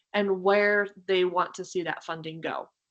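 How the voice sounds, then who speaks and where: A woman's voice at a medium pitch. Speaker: state agency staff presenter. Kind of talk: webinar presentation. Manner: fast.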